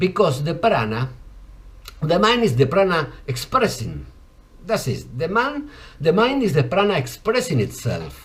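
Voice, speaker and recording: A man speaks fairly slowly at a fairly high pitch, with vocal fry and very wide pitch swings. Audible room echo surrounds his voice. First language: Spanish. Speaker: yoga and ayurveda teacher. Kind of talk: lecture. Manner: halting.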